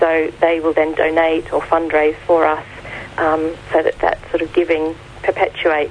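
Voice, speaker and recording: A woman with an Australian accent speaks at a moderate pace and fairly low pitch, her intonation monotone and flat, with noticeable background noise. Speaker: charity founder. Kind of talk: radio interview. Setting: phone call.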